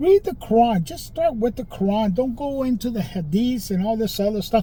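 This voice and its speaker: A high-pitched male voice with a dark, mellow tone and lively intonation. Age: 60s. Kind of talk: casual monologue to camera. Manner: informal, repetitive with fillers.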